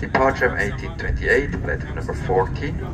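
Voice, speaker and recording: Noticeable background noise beneath a man's voice. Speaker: train conductor announcer. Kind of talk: public announcement. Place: train. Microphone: pa.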